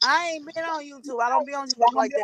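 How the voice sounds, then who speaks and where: A woman projects a raised voice with a bright, sharp tone and a high pitch, with ordinary pitch variation, in a dry, close sound with no echo. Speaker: livestream host. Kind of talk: casual chat. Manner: loud.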